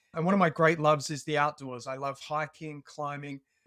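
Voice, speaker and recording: A fairly high-pitched man with an Australian accent on a very clean recording with a silent background. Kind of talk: podcast interview, personal story.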